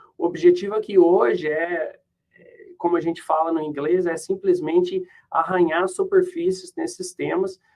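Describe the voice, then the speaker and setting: Speaking in a high pitch, a man keeps his intonation monotone and flat. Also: moderate pace. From Brazil. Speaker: professor. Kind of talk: lecture. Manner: halting.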